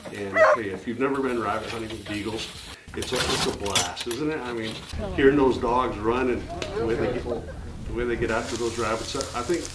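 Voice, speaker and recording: A man talks fairly quickly while loud noise fills the background. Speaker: hunting show host. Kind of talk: cooking show intro chat. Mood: cheerful, relaxed. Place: kitchen.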